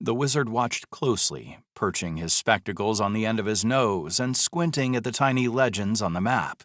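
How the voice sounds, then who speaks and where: With an American accent and a normal speaking voice, someone speaks at a moderate pace with lively intonation and hardly any pauses, recorded very cleanly against a silent background with a dry, close sound and no echo. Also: man, medium pitch for a man. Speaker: audiobook narrator. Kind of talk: audiobook narration.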